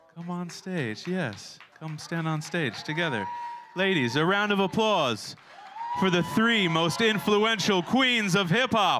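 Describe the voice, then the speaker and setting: Over noticeable background noise, a man with a high pitch speaks at a fairly slow pace with lively intonation. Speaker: event host and master of ceremonies. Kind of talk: emceeing a live ceremony. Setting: stage with audience.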